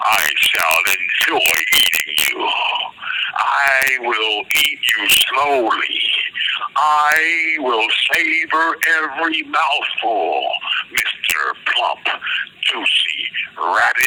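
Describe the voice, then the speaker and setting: Against loud background noise, a man growls in a put-on character voice at a very slow pace with long, frequent pauses. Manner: menacing, savoring, slow.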